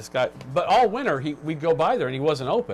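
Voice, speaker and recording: A man at a fairly high pitch, very fast in pace and lively in intonation, with music in the background. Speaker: vinyl record show co-host. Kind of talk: casual chat. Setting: live video stream.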